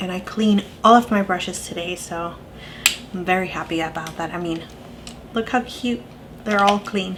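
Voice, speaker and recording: Amid noticeable background noise, a woman at medium pitch talks at a moderate pace with ordinary pitch variation, long and frequent pauses, and big swings in loudness. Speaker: beauty YouTuber. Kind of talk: makeup tutorial talk to camera.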